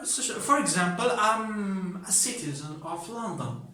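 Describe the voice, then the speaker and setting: Amid noticeable background noise and audible room echo, a man speaks very slowly in a raised, projected voice with lively intonation. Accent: Moroccan. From Morocco. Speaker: English teacher. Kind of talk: lecture. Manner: halting.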